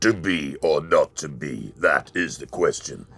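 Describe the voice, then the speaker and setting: A man performs a put-on character voice at a fairly slow pace. His loudness swings widely. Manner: grandly heroic.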